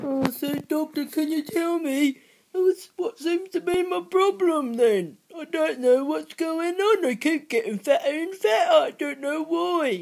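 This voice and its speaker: A high-pitched, put-on character voice. It moves at a fairly slow pace with hardly any pauses. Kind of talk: comedy skit dialogue.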